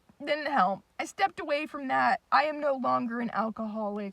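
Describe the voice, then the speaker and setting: A woman's raised, projected voice, high in pitch, with a bright, sharp tone and lively intonation, in a dry, close sound with no echo. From Japan. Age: 20s. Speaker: vlogger. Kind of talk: personal vlog monologue.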